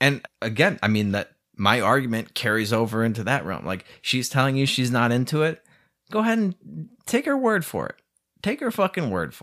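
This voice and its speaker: A man speaks at a medium pitch in an animated tone, his pitch swinging very widely, on a very clean recording with a silent background. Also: moderate pace. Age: 30s. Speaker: podcast host. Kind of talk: solo rant monologue. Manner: animated, casual with frequent laughs.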